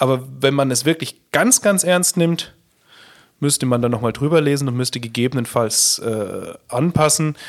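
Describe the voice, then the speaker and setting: A man speaks with ordinary pitch variation. He leaves long, frequent pauses. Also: fairly high pitch for a man, moderate pace. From Upper Palatinate, Bavaria. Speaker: company founder and managing director. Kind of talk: podcast interview.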